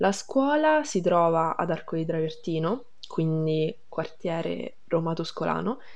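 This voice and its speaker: A woman with a fairly low pitch and ordinary pitch variation speaks in an unremarkable speaking voice. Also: fairly slow pace. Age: 19. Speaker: high school graduate. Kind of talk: interview testimony.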